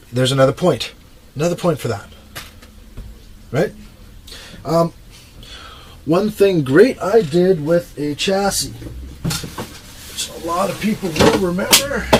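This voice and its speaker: Amid noticeable background noise, a man talks at a very slow pace and a high pitch with lively intonation. Long, frequent pauses break up his speech. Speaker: RC truck hobbyist vlogger. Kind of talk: casual video monologue, tutorial. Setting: home workshop, furnace room.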